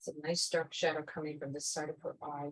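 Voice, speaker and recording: Somewhat breathy, a woman's voice moves at a fairly slow pace. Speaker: watercolor art teacher. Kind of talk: tutorial. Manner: hesitant with fillers.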